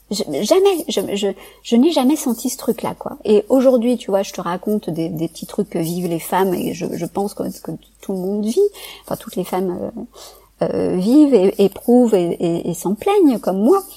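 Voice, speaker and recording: Medium in pitch, a woman speaks at a moderate pace. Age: 40s. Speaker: psychologist and neuroscience researcher. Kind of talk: casual interview conversation. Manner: halting, many repetitions and hesitations.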